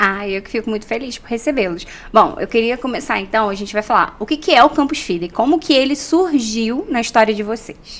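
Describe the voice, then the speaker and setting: Speaking at a fairly quick pace with hardly any pauses, a woman with an ordinary speaking voice shows a fairly high pitch, lively intonation and big swings in loudness. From Rio de Janeiro, Brazil. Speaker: journalist, TV program host. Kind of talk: interview.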